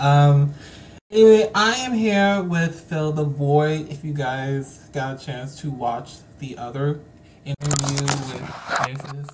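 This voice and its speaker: Someone with an American accent speaks very slowly over noticeable background noise. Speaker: podcast host. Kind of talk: casual interview. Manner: excitable.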